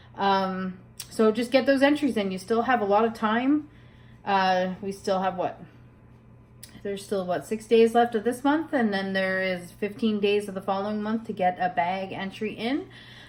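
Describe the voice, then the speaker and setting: A woman talks at a moderate pace in an ordinary speaking voice. Her pitch is medium, with ordinary pitch variation. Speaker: crochet vlogger. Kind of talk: casual vlog talk.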